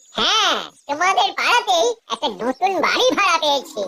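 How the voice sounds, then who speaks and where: A cartoonish character voice at an extremely high pitch plays over faint background music. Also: moderate pace. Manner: stammering, hesitant.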